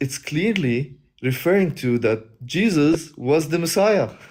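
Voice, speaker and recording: Speaking very slowly with a non-native accent, a man with a fairly high pitch uses lively intonation. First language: not English. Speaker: guest debater on religious livestream. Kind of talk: debate. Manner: halting, many fillers and restarts.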